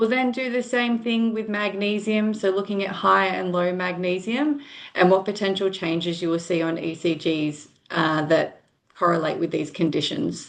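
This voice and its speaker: A woman with an Australian accent talks at a medium pitch. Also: ordinary pitch variation, moderate pace. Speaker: nurse educator. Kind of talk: online lecture. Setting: video call.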